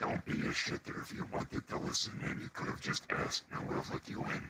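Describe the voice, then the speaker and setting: A man rattles off lines very fast in a put-on character voice. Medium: actual play. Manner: smug, blunt.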